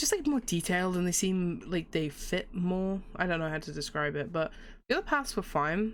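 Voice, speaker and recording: A woman talks at a moderate pace. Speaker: gaming youtuber. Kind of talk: let's play commentary. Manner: animated.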